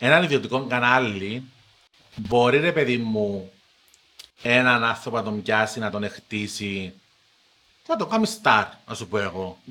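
Bright and sharp in tone, the voice moves at a fairly slow pace in a Cypriot accent, with ordinary pitch variation and long, frequent pauses. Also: man, medium pitch for a man. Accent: Paphos Cypriot Greek, drawn-out sing-song. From Cyprus, Paphos. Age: under 42. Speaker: TV presenter. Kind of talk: casual chat.

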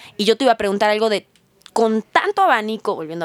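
With a Mexican accent, a woman speaks at a fairly high pitch in a dry, close sound with no echo. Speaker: podcast host. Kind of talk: casual interview.

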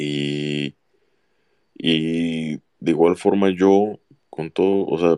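A man talks with a very deep, low pitch and fairly even intonation in a dark, mellow tone. The sound is dry and close with no echo, over a quiet background. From Jalisco, Mexico (Autlán de la Grana). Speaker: football fan commentator. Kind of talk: casual chat.

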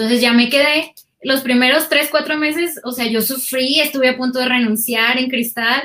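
Raised and projected, a woman's voice carries a bright, sharp tone and a high pitch. She speaks at a moderate pace with fairly even intonation. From Mexico, Sinaloa (Guasave, Culiacán). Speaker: audiovisual producer and video editor. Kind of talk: casual interview chat. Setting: video call.

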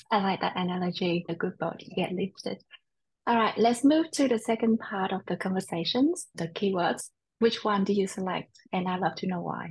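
Somewhat breathy, a woman with an American accent speaks at a moderate pace and a medium pitch. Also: ordinary pitch variation. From Vietnam and Australia, lives in US. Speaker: podcast host. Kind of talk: scripted intro and interview chat.

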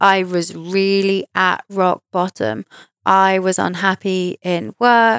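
Recorded very cleanly against a silent background, a woman with a southern English accent speaks at a medium pitch, the sound dry and close with no echo. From southern England, near Reading. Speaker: podcast host, psychic medium. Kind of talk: personal storytelling monologue.

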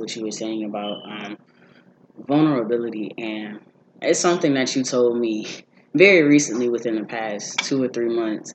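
A plain, everyday voice, medium in speed, its pitch shifting in a normal way. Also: man. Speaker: college student. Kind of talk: casual chat.

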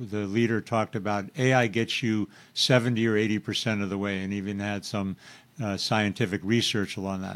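The recording is very clean, with a silent background. A man uses an ordinary speaking voice, fairly low and fairly quick, with fairly even intonation. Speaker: podcast host. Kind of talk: casual interview chat.

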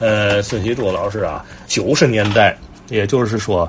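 A man with a fairly low pitch speaks at a fairly slow pace over noticeable background noise. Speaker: traditional folk-art enthusiast and commentator. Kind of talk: casual monologue.

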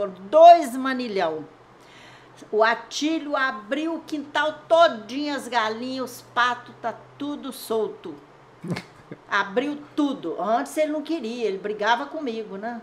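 Speaking at a very slow pace, a woman with a high pitch uses lively intonation and big swings in loudness. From Aimorés, Minas Gerais, Brazil. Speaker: longtime resident sharing local history. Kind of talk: oral history interview. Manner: rambling storytelling.

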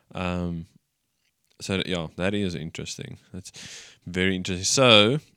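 Over a silent background in a very clean, dry, close recording with no echo, a man speaks fairly slowly at a fairly low pitch in an Afrikaans South African accent. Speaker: church podcast co-host. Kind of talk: casual chat.

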